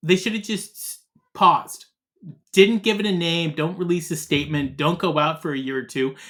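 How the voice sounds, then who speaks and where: A man speaks loudly at a moderate pace, his pitch high with ordinary variation. His tone is animated. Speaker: podcast co-host. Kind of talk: casual chat.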